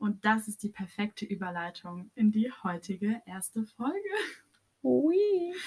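Somewhat breathy and fairly high, a woman's voice moves at a fairly slow pace with very wide pitch swings. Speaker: podcast co-host. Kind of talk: casual chat.

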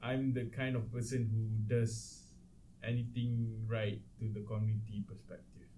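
In a Malaysian accent, a man with a medium pitch and a dark, mellow, somewhat breathy tone speaks at a moderate pace with audible room echo. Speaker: podcast co-host. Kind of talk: casual chat.

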